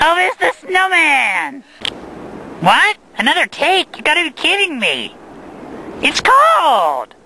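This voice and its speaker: A man speaks in a cartoonish character voice with an extremely high pitch. His pace is fairly slow, broken by long, frequent pauses. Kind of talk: outdoor street interviews. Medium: puppet.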